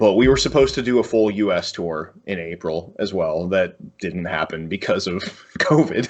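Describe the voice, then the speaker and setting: A man with an American accent and an unremarkable speaking voice, fairly low in pitch, at a moderate pace with lively intonation. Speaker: metal musician. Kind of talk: casual interview.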